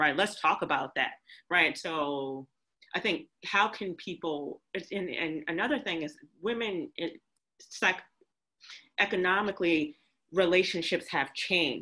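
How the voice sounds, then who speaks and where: Long, frequent pauses break up a woman's fairly slow speech, her fairly low voice bright and sharp in tone over a quiet background. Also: ordinary pitch variation. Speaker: event co-organizer; discussion host or panelist. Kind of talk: panel discussion. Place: home room. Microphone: video call.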